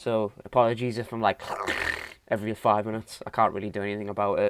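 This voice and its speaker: The speaker talks at a fairly quick pace with a British accent, the intonation monotone and flat. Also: man. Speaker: film podcast co-host. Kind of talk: casual chat.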